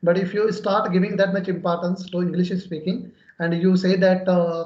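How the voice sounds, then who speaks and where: With a Pakistani accent, a man speaks at a moderate pace in a high pitch and monotone, flat intonation. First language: Urdu. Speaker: English conversation channel host. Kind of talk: English practice conversation.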